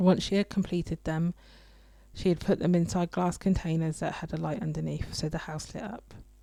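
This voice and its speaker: A woman with a normal speaking voice talks at a fairly quick pace, her pitch fairly low and her intonation fairly even. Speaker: radio show host. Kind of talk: radio show solo talk. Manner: reflective, personal.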